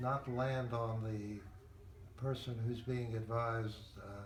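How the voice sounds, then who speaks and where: A man talks at medium pitch, his intonation fairly even. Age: 80s+. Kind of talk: interview answer. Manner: thoughtful, hesitant.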